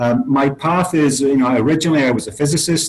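Somewhat breathy, a man's voice moves along at a fairly quick pace. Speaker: guest. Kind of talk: interview answer. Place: office. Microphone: webcam.

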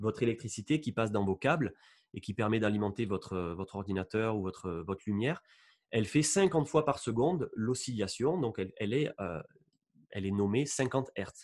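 A man with lively intonation at a moderate pace against a quiet background. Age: 30s. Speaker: YouTuber on electromagnetic waves. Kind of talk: interview with screen-shared presentation. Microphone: studio mic.

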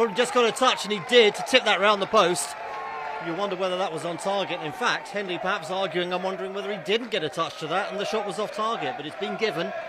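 Over noticeable background noise, a man speaks at a very fast pace in a raised, projected voice. His pitch is high, his tone animated, and his pitch variation ordinary. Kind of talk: live football commentary. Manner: fast, animated play-by-play delivery, clipped and urgent, rising on chances.

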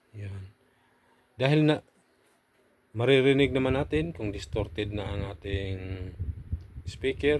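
Very slow and somewhat breathy, a man speaks with a fairly low pitch and lively intonation. Long, frequent pauses break up his words. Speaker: audio equipment vlogger. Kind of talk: tutorial. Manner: halting.

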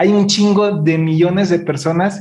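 A man speaks in a high voice with fairly even intonation. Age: 30s. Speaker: podcast host. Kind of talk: casual interview. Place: studio. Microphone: studio mic.

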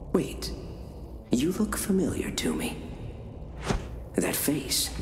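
A man does a put-on character voice at a medium pitch, with very wide pitch swings. He talks at a slow pace over clear background noise.

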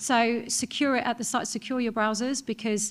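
A somewhat breathy woman's voice comes through on a very clean recording with a silent background. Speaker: neurodiversity researcher and consultant. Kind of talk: panel discussion. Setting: stage with audience.

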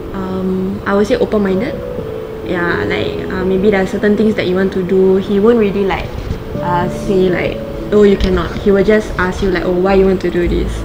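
A woman at a moderate pace over noticeable background noise. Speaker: interviewee. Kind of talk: interview answer. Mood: relaxed, light. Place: home room. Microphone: lapel.

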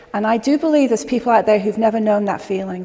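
Against noticeable background noise, a woman with an American accent talks at a fairly high pitch with ordinary pitch variation. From England. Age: 50s. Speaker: natural health educator. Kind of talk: educational talk to a live audience.

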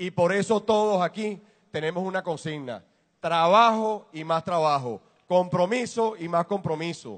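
At a fairly slow pace, a man speaks with a high pitch and ordinary pitch variation. The background is quiet. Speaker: business executive. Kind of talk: public speech. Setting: warehouse with audience.

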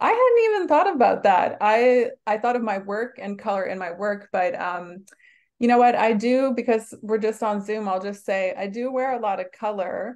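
A woman at a moderate pace with ordinary pitch variation against a quiet background. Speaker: art professor. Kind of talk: lecture. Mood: warm, happy. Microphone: video call.

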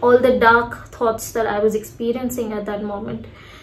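A woman's high voice carries monotone, flat intonation amid audible room echo. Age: 30s. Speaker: lifestyle vlogger. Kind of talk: casual chat. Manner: hesitant with fillers.

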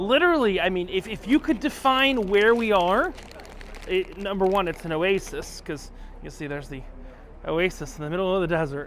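Over light background noise, a man with a high pitch speaks at a moderate pace with lively intonation and big swings in loudness, in a dry sound with no echo. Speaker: travel vlogger. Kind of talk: casual vlog chat. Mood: cheerful, amused. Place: cafe. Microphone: lapel.

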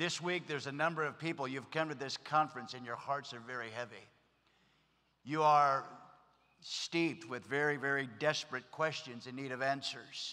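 A man's bright, sharp voice at a moderate pace, with fairly even intonation. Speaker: pastor. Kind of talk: sermon. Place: stage. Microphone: podium.

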